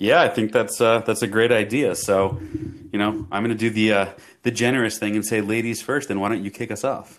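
A man's plain, everyday voice at medium pitch, with fairly even intonation and a fairly quick pace. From Canada, Toronto. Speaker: podcast co-host, salesman. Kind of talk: casual chat.

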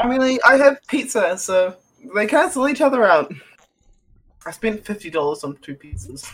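A man with a New Zealand accent talks at a fairly slow pace, with long, frequent pauses. His high-pitched voice makes very wide pitch swings. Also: big swings in loudness. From New Zealand, living in Australia. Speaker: podcast co-host.

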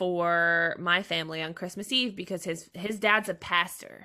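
With an American accent, a woman speaks in a bright, sharp tone with ordinary pitch variation. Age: 20s. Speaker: streamer. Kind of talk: casual chat. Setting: video call.

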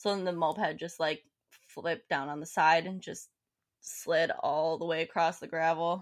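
An unremarkable speaking voice from a woman, fairly low in pitch, at a moderate pace with fairly even intonation and big swings in loudness. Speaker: podcast co-host. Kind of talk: casual chat. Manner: joking.

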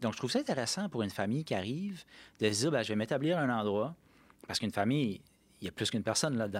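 Speaking very fast but with long, frequent pauses, a man at medium pitch uses lively intonation over a very clean recording with a silent background. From New Brunswick, Canada (Acadian). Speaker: regional economic development director. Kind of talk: podcast interview. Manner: hesitant, many fillers.

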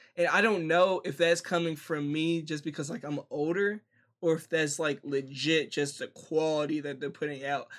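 A man's fairly high voice at a fairly quick pace, in a very clean recording with a silent background. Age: 20s. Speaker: podcast co-host. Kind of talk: casual chat. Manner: animated.

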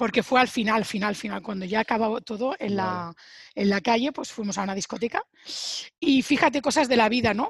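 The voice is somewhat breathy, with ordinary pitch variation. The sound is dry and close, without echo. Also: woman, fairly high pitch for a woman, fairly quick pace. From Spain, Sabadell (Barcelona). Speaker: Spanish teacher. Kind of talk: casual interview.

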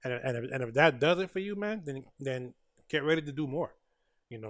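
With a normal speaking voice, a man talks at a fairly quick pace, medium pitch and ordinary pitch variation. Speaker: podcast host. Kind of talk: casual interview. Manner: filler-heavy, casual.

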